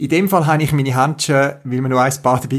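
A man with a rather high, somewhat breathy voice talks very rapidly. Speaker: podcast host. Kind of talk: casual interview.

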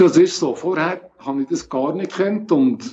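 A man with a high pitch speaks at a fairly slow pace, his pitch varying in an ordinary way. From Switzerland, Bern region. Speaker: geocacher with multiple sclerosis, wheelchair user. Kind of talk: interview.

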